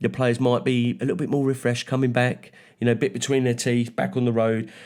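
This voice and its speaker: A man in a London accent talks at a very fast pace and medium pitch, with fairly even intonation and very even loudness. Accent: Mockney. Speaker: football podcast co-host. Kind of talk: casual chat, match preview.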